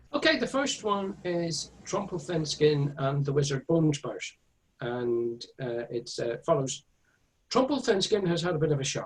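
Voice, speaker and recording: Somewhat breathy, a man talks at a fairly slow pace. His pitch varies in an ordinary way. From Northern Ireland (Belfast, County Tyrone/Monaghan). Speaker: author and illustrator. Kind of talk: interview. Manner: halting, many fillers.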